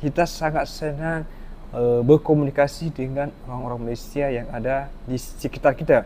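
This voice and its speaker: A man's fairly high, plain, everyday voice, moderate in pace and fairly even in intonation. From Indonesia. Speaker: reaction video host. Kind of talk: reaction commentary.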